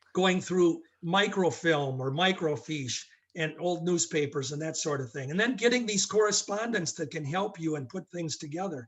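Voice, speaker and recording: With an American accent, a man talks at a moderate pace, using high pitch and lively intonation. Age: 60s. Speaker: wrestling historian. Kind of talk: podcast interview.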